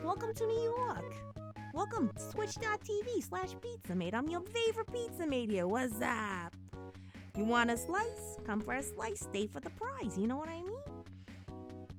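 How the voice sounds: A woman's put-on character voice over clear background music. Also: fairly slow pace.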